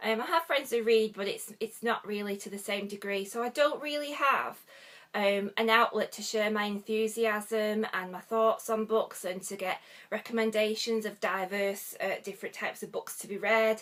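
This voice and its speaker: A woman speaks with a northwest English accent at a moderate pace and a fairly high pitch. Her intonation stays fairly even while her loudness swings widely. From northwest England. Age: 40s. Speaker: book vlogger. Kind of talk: casual vlog chat. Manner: hesitant, frequent ums.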